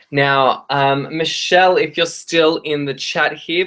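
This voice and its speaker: Over a quiet background, a man with an Australian accent speaks at a fairly slow pace. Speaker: tarot reader. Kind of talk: live stream tarot readings. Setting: live stream. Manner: hesitant, many fillers.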